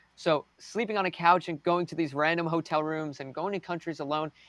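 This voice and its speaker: In a dry, close recording with no echo, a man with an American accent speaks at a fairly quick pace in a normal speaking voice with a fairly high pitch. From United States. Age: young. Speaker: race car driver. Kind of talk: interview.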